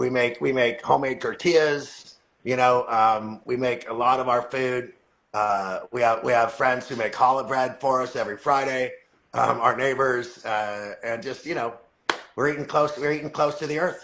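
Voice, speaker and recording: A man talks in a normal speaking voice at a moderate pace. His pitch is medium and his intonation fairly even. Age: 60s. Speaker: company CEO. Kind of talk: casual interview chat. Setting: live video call.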